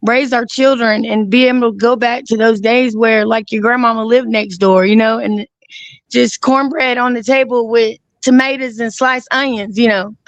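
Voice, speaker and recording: A woman's fairly high, monotone, flat delivery with an Alabama accent. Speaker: guest. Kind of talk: casual chat. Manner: halting.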